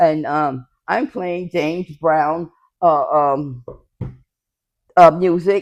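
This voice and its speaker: Someone with an American accent speaks very slowly, with ordinary pitch variation and long, frequent pauses. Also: woman, fairly low pitch for a woman. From New York and Florida. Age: 70s. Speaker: senior center resident. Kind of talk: interview storytelling. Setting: senior center. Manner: halting.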